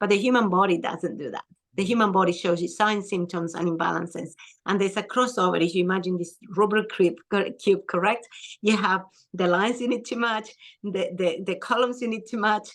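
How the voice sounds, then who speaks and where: At a fairly quick pace, a woman speaks with a non-native accent. Her medium-pitched voice has ordinary pitch variation. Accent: foreign. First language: not English. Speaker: skin and hormone health practitioner. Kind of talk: interview.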